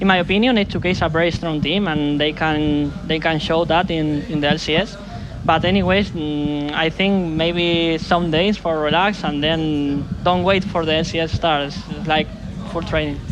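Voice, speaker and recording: Speaking in a Spanish accent at a moderate pace, a man with fairly high pitch keeps fairly even intonation and very even loudness, with noticeable background noise and audible room echo. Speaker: pro esports player. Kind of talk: post-match interview. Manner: halting.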